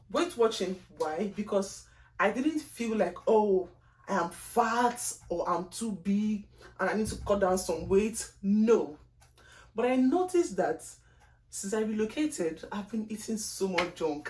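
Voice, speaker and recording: A woman at a medium pitch with a strong Nigerian accent, somewhat breathy, lively intonation and a fairly slow pace. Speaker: lifestyle vlogger. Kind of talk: casual vlog monologue. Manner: deliberately slow; chatty, expressive.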